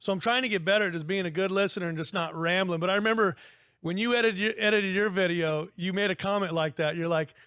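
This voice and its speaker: A man's very fast, high-pitched delivery, bright and sharp in tone, with fairly even intonation on a very clean recording against a silent background. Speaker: clothing company co-founder. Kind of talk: casual chat. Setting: on-location podcast interview.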